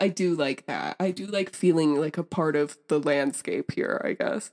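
With music in the background and a dry, close sound with no echo, a woman with an American accent speaks fairly slowly at a fairly low pitch with ordinary variation. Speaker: podcast guest, friend of host. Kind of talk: casual chat. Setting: in Utah, recording on trip.

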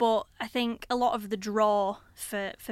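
A woman's fairly high voice with a Lancashire accent and ordinary pitch variation, on a very clean recording with a silent background. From Blackburn, Lancashire, northern England. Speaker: artist and arts organiser. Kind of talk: casual interview. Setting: recorded on university campus, filmed.

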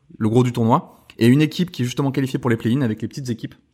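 In a very clean recording with a silent background, a man talks at a very fast pace with ordinary pitch variation. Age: 30s. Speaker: video game podcast co-host. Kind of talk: casual chat.

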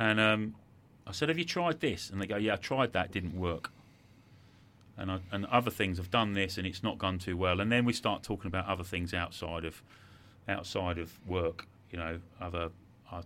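A man's very deep, low voice with a bright, sharp tone, a moderate pace and long, frequent pauses. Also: ordinary pitch variation. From English Midlands, later Sussex. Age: 50s. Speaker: sales trainer and adventurer. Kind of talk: interview. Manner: halting, many repetitions.

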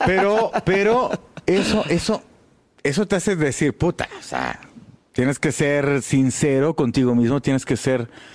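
A man speaks in a plain, everyday voice at a fairly slow pace. His pitch is fairly high, his intonation lively and his loudness very even. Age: 40s. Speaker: jazz double bassist. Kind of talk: casual interview.

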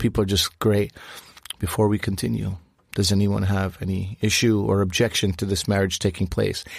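A man's normal speaking voice, fairly low in pitch, with fairly even intonation and a moderate pace. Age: 40s. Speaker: podcast co-host, former cook. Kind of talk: casual chat.

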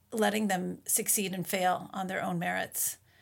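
On a very clean recording with a silent background, a woman with an American accent talks fairly slowly at a fairly low pitch, her intonation fairly even and her voice showing vocal fry. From Minnesota, US. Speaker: author and mother. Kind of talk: interview.

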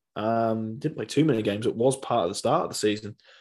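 In a West Yorkshire accent, a man speaks fairly quickly at medium pitch with ordinary pitch variation over a quiet background. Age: 20s. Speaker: rugby league fan podcast host. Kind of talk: solo podcast monologue. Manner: hesitant, many fillers.

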